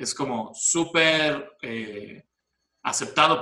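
A man with a fairly high pitch and a bright, sharp tone. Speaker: film studies teacher and guest storyteller. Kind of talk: casual narrative storytelling.

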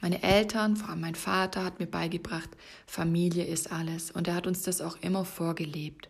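This woman talks at a moderate pace in a fairly low, somewhat breathy voice with monotone, flat intonation. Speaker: fitness and life coach podcast host. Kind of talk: solo podcast monologue. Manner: stumbling over words.

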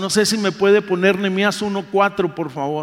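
Noticeable background noise runs under the speech. The pace is fairly slow, with ordinary pitch variation. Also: man. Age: 60s. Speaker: pastor. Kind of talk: sermon.

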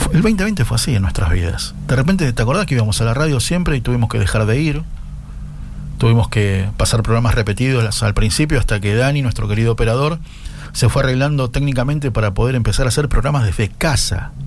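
Talking at a very fast pace with lively intonation, a man of medium pitch keeps his loudness very even amid audible room echo and noticeable background noise. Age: 50s. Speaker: radio host. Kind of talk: casual radio chat. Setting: home radio studio.

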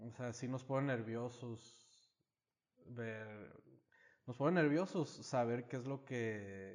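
A man talks at a very slow pace with ordinary pitch variation and long, frequent pauses. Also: medium pitch for a man. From United States (Mexican-American, moved to Mexico). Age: 30s. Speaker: small business owner. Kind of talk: casual chat.

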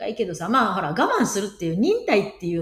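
A woman talks at a very fast pace in a medium pitch, her pitch swinging very widely. Noticeable background noise runs underneath. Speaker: podcast co-host. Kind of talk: casual chat.

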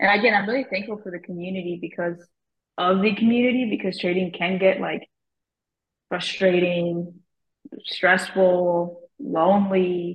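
Somewhat breathy, a woman speaks with long, frequent pauses. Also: medium pitch for a woman, moderate pace, big swings in loudness. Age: 20s. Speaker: stock trader. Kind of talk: casual chat.

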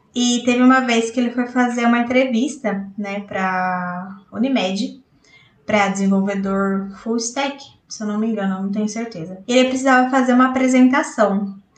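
In a room with audible echo, a woman talks at a moderate pace and a fairly high pitch, with ordinary pitch variation. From interior of São Paulo state, Brazil. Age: 30s. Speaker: software tester. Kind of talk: recorded personal story.

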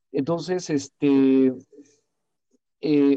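A man speaks in a fairly high voice with a dark, mellow tone and fairly even intonation, recorded dry and close with no echo. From Mexico. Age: 30s. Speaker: classical singer and author. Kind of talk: casual interview conversation.

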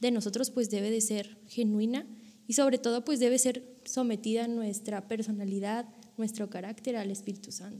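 In a dark, mellow, somewhat breathy tone, a woman speaks at a moderate pace with fairly high pitch and monotone, flat intonation. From Monterrey, Nuevo León, northern Mexico. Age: 20s. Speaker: author and theology student. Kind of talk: casual interview.

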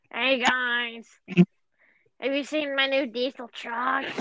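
In a put-on character voice, a female-sounding speaker uses a high pitch and a monotone, flat intonation at a fairly slow pace. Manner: cheery, bragging.

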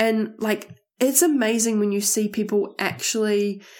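A woman of medium pitch with a New Zealand accent. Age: 20s. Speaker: podcast host. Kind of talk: casual monologue. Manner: animated.

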